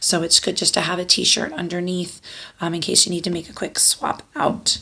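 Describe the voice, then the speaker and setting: Noticeable background noise behind a woman's fairly low voice, fairly even intonation, moderate pace. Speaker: youth flag football coach and kindergarten teacher. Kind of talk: informational video address to parents. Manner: casual, with fillers.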